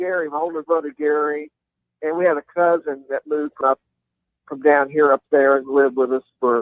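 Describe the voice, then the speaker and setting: A man with a Kentucky accent, fairly high-pitched. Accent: Kentucky Southern US. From Kentucky, Louisville. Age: 60s. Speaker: country rock guitarist. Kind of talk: interview. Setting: phone call; outdoors. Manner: halting.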